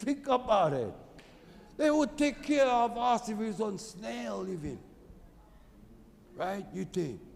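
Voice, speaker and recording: A man speaks loudly at a high pitch and a fairly slow pace. He leaves long, frequent pauses. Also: lively intonation. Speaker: Native Hawaiian activist. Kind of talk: testimony.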